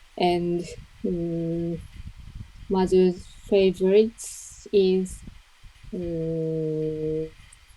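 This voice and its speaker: A woman speaks in a Japanese accent at a fairly low pitch. Her pace is very slow and her intonation monotone and flat. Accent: Japanese, soft-edged words. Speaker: English learner. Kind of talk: mock speaking test. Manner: halting.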